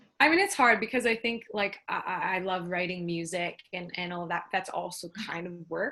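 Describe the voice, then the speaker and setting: A woman with an ordinary speaking voice, medium pitch, ordinary pitch variation, a moderate pace and hardly any pauses. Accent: Canadian. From Canada, Toronto. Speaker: business mentor and singer-songwriter. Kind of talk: interview.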